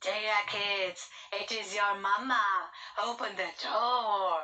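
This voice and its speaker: A female-sounding voice at medium pitch puts on a character voice and speaks at a very slow pace. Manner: deceptive, feigning sweetness.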